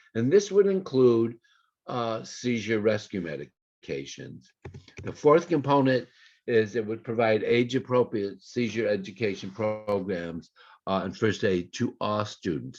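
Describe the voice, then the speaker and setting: A man's normal speaking voice at medium pitch, with lively intonation and a fairly slow pace. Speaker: epilepsy advocacy speaker. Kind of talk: conference presentation.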